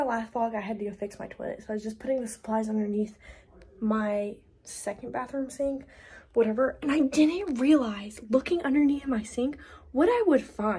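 Her tone dark and mellow, a woman speaks at a high pitch and a moderate pace with lively intonation. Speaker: vlogger. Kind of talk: casual vlog chat. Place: home room. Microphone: phone near.

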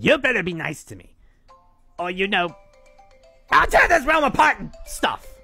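The sound is dry with no echo, with faint music in the background. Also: man. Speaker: voice actor. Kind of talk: character voice performance. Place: home room.

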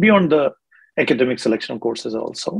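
Husky and rough-edged, this man's voice carries vocal fry. He talks at a fairly quick pace.

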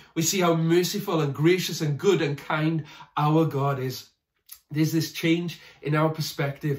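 Moderate-paced speech from a man against a quiet background. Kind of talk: sermon. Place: home room. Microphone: phone near.

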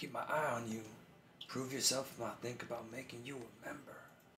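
A man speaks fairly quickly in a put-on character voice at medium pitch, with monotone, flat intonation and audible echo. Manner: sketchy, shady, menacing.

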